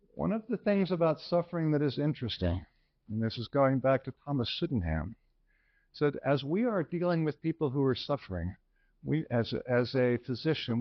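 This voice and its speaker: Lively intonation runs through a plain, everyday voice delivered at a moderate pace. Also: man, fairly high pitch for a man. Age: 60s. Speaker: physician, lecturer. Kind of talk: lecture.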